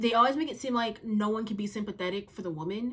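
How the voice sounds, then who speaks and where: A woman is speaking. Her pace is fairly quick. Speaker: youtuber. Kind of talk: casual chat. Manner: fast.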